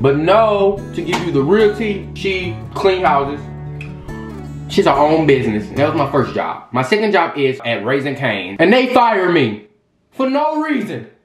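A man's voice at a moderate pace, with music behind him. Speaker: vlogger. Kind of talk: casual vlog chat. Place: home room. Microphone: camera far.

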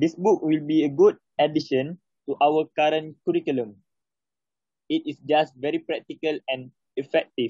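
A man with a Malaysian accent speaks at a fairly high pitch and a moderate pace, leaving long, frequent pauses. His intonation is fairly even, and the sound is dry with no echo against a quiet background. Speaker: English learner. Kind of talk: reading aloud. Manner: halting. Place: home room. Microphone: phone near.

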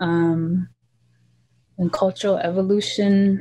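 Her voice somewhat breathy and dark, mellow in tone, a woman speaks at a very slow pace with fairly even intonation. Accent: American. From US, Montana, Flathead Reservation; Montana. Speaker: cultural practitioner; interviewee. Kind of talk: interview. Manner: halting. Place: home room. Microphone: video call.

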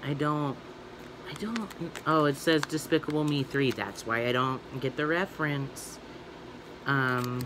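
The speech runs at a fairly slow pace with ordinary pitch variation amid noticeable background noise. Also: man. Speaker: toy unboxing vlogger. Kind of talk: casual vlog chat. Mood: cheerful, chatty. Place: home room. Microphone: phone near.

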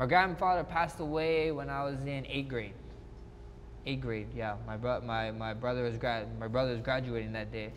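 A man speaks with a Hawaiian accent and lively intonation. Light background noise is present. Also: medium pitch for a man, moderate pace. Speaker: mixed martial arts fighter. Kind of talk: interview answer. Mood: reflective, warm, nostalgic. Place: hall. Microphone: lapel.

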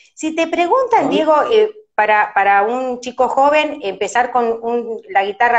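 Against a quiet background, a woman with an Argentine accent speaks fairly slowly at a fairly high pitch, with very wide pitch swings. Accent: Rioplatense Argentine Spanish. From Argentina. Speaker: radio host doing a live stream interview. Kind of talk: casual live-stream interview chat. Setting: live video stream from her office. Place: home room. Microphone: phone near.

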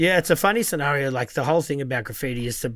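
In an Australian accent, a man talks at a fairly quick pace, with a dry sound and no echo. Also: quiet background. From Melbourne, Australia. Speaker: podcast host. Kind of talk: casual chat. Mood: relaxed, casual, swearing. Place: studio. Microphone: studio mic.

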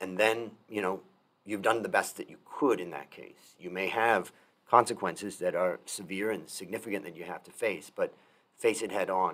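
This man has an ordinary speaking voice pitched fairly low. He talks at a fairly quick pace. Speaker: podcast host. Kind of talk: interview. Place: home room. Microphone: studio mic.

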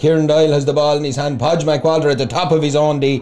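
A man with an Irish accent speaks in an animated tone at a fairly high pitch. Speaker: sports commentator. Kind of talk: live sports commentary, play-by-play. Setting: outdoors at the ground. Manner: fast, fluent, animated.

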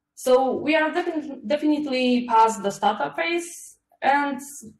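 A woman's voice with audible room echo. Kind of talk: conference talk. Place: home room. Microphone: webcam.

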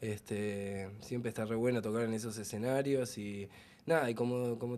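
A man keeps a moderate pace, and his intonation stays fairly even. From Argentina, Buenos Aires. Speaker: rock band member. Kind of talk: casual interview. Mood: relaxed, pleased. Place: home room. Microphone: handheld.

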